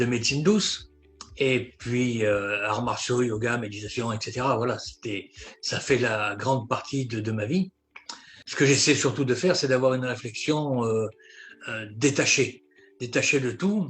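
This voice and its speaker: Long, frequent pauses break up a man's fairly slow delivery. His voice sits at a medium pitch with ordinary pitch variation. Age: 60s. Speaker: network marketing investor. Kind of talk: interview. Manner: halting, repeats words.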